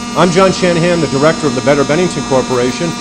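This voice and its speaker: Talking very fast against noticeable background noise, a man uses a high pitch and lively intonation. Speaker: local business association director hosting a community TV show. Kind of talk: casual on-location interview tour. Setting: pottery factory floor. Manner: loud, yelling into the microphone.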